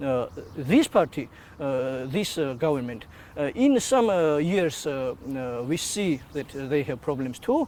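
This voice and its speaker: With a Georgian accent, a man speaks at a fairly high pitch and a fairly slow pace, his intonation lively. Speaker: activist. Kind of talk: interview. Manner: halting, many hesitations.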